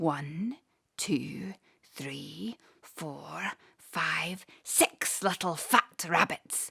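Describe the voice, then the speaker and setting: Whispering very slowly, a woman puts on a character voice. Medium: read story. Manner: gloating, chuckling.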